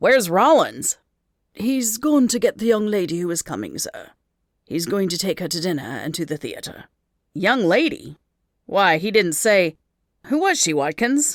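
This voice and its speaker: This is a put-on character voice, raspy and at a middle pitch. It moves at a moderate pace with long, frequent pauses. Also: very clean recording, silent background. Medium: read story.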